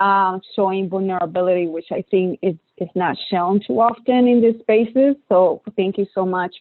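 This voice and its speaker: In a strong Puerto Rican accent, a woman speaks at a medium pitch and a moderate pace with ordinary pitch variation. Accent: thick Puerto Rican Spanish. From Puerto Rico. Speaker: clinical psychologist, researcher. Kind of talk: panel discussion. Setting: webinar video call.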